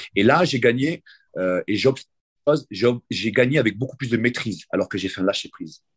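This man has an unremarkable speaking voice at a medium pitch with ordinary pitch variation. He talks at a fairly slow pace in a dry, close sound with no echo. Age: 40s. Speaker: grappling coach and competitor. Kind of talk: interview.

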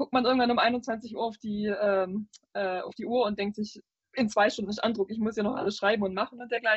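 In a Swabian accent, a somewhat breathy woman talks at a fairly quick pace with fairly even intonation. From Swabia, southern Germany. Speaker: video game journalist. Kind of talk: casual chat.

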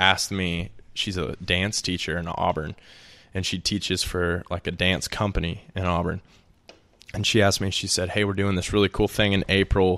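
A man with an Alabama accent speaks at a moderate pace in a very deep, low pitch with a bright, sharp tone and monotone, flat intonation against a quiet background. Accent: Southern US (Alabama). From Alabama, US South (Birmingham). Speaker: musician and software consultant. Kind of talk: casual chat.

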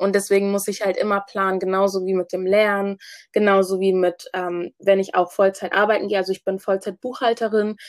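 A woman's medium-pitched voice at a fairly quick pace, monotone and flat, with a dry, close sound and no echo. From Hamburg, Germany (Ghanaian family). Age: 20s. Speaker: student and business founder. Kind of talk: interview.

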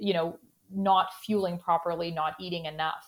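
A woman with a Canadian accent speaks in a normal speaking voice at a moderate pace, with ordinary pitch variation. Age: 30s. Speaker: sports dietitian. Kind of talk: interview.

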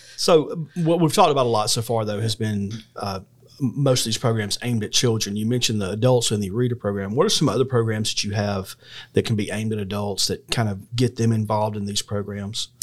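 The background is silent and the recording very clean. A man with a fairly low voice speaks very fast. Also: ordinary pitch variation. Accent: Southern US. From US South, Georgia (McDuffie County). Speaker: podcast host. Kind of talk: interview.

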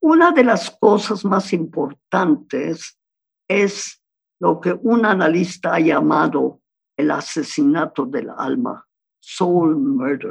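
A woman's fairly low voice at a very slow pace, with lively intonation. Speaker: psychoanalyst. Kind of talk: interview.

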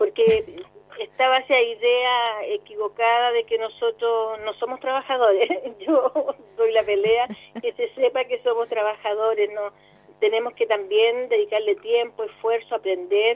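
A woman speaks in an unremarkable speaking voice. She talks at a fairly slow pace with ordinary pitch variation. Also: fairly high pitch for a woman. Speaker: actress. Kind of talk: interview.

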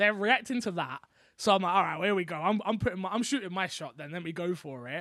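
In a London accent, a raised, projected voice with a bright, sharp tone races along at a very fast pace with big swings in loudness, over a very clean recording with a silent background. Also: man, high pitch for a man, ordinary pitch variation. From London, England. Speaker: content creator and podcaster. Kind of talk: casual interview chat.

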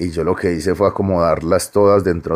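On a very clean recording with a silent background, a man talks at a moderate pace in a very deep, low pitch with monotone, flat intonation. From Medellín, Colombia (Aranjuez). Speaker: novelist. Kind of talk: interview.

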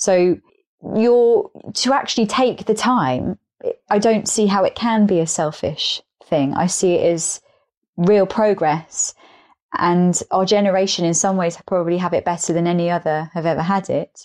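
A woman with an English accent speaks at a medium pitch and a moderate pace. Her loudness stays very even over a quiet background. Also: ordinary pitch variation. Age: 30s. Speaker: podcast guest. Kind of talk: casual chat.

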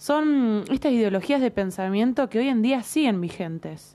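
This woman talks fairly slowly with lively intonation. Her tone is dark and mellow. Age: 20s. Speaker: psychology student podcaster. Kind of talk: solo educational monologue. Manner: hesitant, many fillers.

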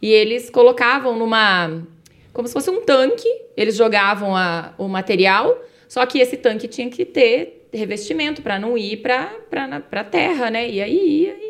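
Her voice fairly high, a woman talks at a moderate pace with lively intonation and big swings in loudness. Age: 40s. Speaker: chemistry teacher. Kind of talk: casual explanatory chat.

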